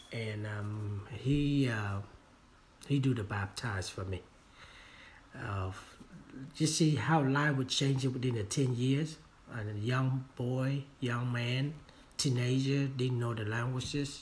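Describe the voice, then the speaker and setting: A man's somewhat breathy, medium-pitched voice with a Vietnamese accent, very slow pace, ordinary pitch variation, and long, frequent pauses. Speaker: real estate agent and trainer. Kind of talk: training talk. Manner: halting, many fillers.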